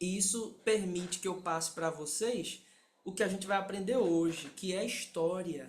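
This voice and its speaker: At a moderate pace, a man speaks in a high pitch with fairly even intonation and audible room echo. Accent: Pernambuco. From Pernambuco, Brazil. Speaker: sign language interpreter and instructor. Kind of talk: lecture.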